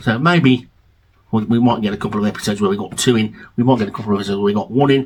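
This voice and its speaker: A very fast pace in a British accent, with ordinary pitch variation. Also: man, fairly low pitch for a man. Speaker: music vlogger and album reviewer. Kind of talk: casual video monologue.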